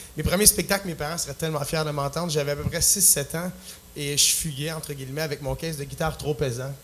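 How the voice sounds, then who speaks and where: A man with a fairly high pitch and a Quebec accent, fairly quick pace and fairly even intonation, over noticeable background noise. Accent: Québécois French. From Quebec, Plessisville. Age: 20s. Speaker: singer-songwriter. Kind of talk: talk show interview. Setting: stage with audience. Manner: halting.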